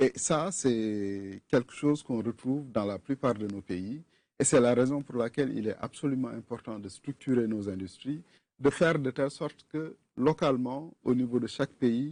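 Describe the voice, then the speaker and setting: A man's dark, mellow, medium-pitched voice with a Senegalese accent, fairly slow and with ordinary pitch variation, against a quiet background. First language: Wolof (speaking French). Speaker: film fund official. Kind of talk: TV interview.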